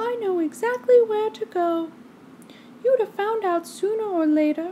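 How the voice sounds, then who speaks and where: A woman's squeaky, put-on character voice at an extremely high pitch and a moderate pace, with clear background noise. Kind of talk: bedtime story. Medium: read story.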